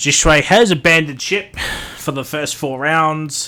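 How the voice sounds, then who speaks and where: A man talks with an Australian accent. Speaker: sim racing commentator. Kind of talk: live commentary. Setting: live stream. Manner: loud; casual, rambling with fillers.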